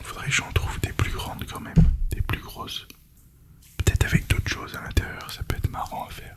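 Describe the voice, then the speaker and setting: A man's whisper at a fairly quick pace, with big swings in loudness, long, frequent pauses and noticeable background noise. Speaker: ASMR creator. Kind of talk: casual ASMR talk to camera.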